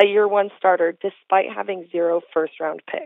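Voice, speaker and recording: Here is a woman speaking. She has an unremarkable speaking voice. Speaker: intern. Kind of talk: reading listener questions.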